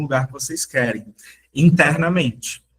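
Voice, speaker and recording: The man's pitch sits fairly high, with ordinary pitch variation. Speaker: self-development teacher. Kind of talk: workshop talk. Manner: slower, deliberate.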